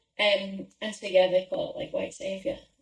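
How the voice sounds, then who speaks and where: A woman's voice with a slight Scouse accent. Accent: Scouse, mild. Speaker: podcast co-host. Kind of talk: casual chat.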